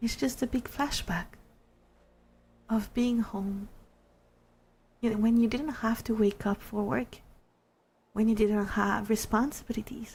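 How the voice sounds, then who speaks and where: This woman's voice is fairly high and somewhat breathy, with ordinary pitch variation. Long pauses come often. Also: fairly slow pace. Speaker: ASMR streamer (virtual avatar). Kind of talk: interactive ASMR story. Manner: whispered, soft-spoken.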